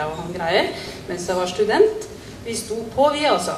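Noticeable background noise can be heard. Over it, a woman speaks at a moderate pace. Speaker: guest. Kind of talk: informal tribute speech. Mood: warm, humorous.

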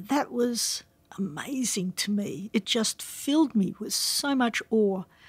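A woman with an Australian accent speaks in a fairly high, somewhat breathy voice. The recording is very clean and dry, with a close sound, no echo and a silent background. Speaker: professor. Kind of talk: interview.

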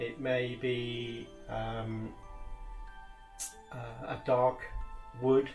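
Faint music sits in the background while a man talks. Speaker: professional decorator instructor. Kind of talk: tutorial. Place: workshop.

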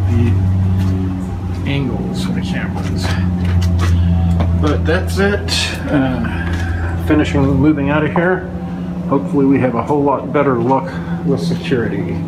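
A man at a fairly slow pace, with long, frequent pauses and music in the background. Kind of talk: casual vlog chat. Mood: matter-of-fact, slightly wary. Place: garden. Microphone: phone near.

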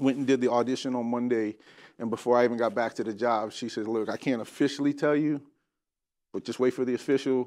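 A man at a very fast pace with ordinary pitch variation, over a quiet background. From Miami, Florida. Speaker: actor. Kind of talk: interview. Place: studio.

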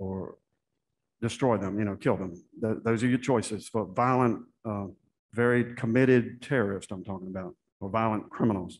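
With light background noise behind him, a man talks at a moderate pace in a medium pitch with ordinary pitch variation. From US South (Florida and southern Virginia); US South. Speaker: Senate candidate, army veteran; candidate. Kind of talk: candidate forum answers. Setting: stage with audience. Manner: halting. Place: hall. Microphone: podium.

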